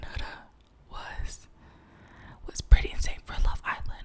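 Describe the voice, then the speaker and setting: Whispering at a very slow pace, the voice comes through noticeable background noise. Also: woman. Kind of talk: casual talk to camera. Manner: whispered, rambling, gossipy.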